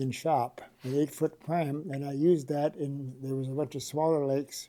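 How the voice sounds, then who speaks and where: A man's fairly high-pitched voice with an American accent, a dark, mellow tone, fairly even intonation and a moderate pace. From Minnesota (Rush City area). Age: 80s+. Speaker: oral history interviewee. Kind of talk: oral history interview. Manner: halting, many fillers.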